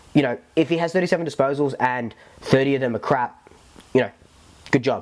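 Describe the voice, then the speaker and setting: Someone with an Australian accent talks at a fairly quick pace with ordinary pitch variation. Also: man. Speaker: football fan podcaster. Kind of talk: casual talk to camera. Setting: lav mic recording. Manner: casual, rambling, filler-heavy.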